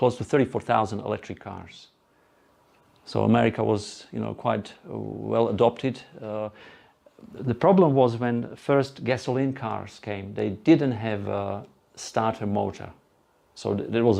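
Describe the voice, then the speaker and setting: A man with a Slovak accent speaks at a fairly low pitch. His tone is dark and mellow, with ordinary pitch variation. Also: fairly slow pace. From Slovakia. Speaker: presenter. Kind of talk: presentation to live audience. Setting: room with live audience. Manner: halting.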